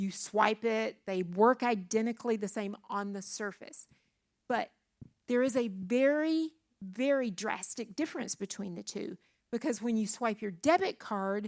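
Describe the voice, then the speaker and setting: With an unremarkable speaking voice, a woman talks fairly slowly and fairly high in pitch, her intonation lively, in a very clean recording with a silent background. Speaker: church speaker on finances. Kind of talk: church teaching talk to young adults.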